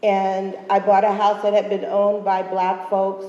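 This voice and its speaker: With an American accent and medium pitch, a woman talks at a moderate pace amid noticeable background noise and audible room echo. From Philadelphia, US. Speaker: urban farmer, panelist. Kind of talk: panel discussion.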